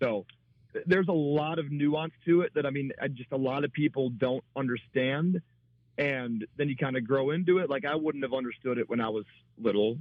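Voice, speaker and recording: A man with a plain, everyday voice, fairly high in pitch, with ordinary pitch variation and a fairly quick pace. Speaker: stadium PA announcer, radio guest. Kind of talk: radio interview answer about announcing.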